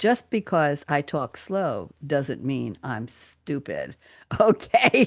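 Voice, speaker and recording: In a dry, close recording with no echo and a quiet background, a woman with an American accent speaks at a very slow pace. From New York. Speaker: radio talk show host. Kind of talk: casual roundtable chat. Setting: live radio studio.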